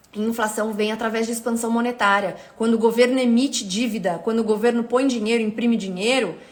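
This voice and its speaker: A woman talks at a very fast pace with hardly any pauses, her pitch fairly high. Audible room echo surrounds her voice. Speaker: economist, teacher. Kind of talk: live stream talk. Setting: live stream. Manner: energetic.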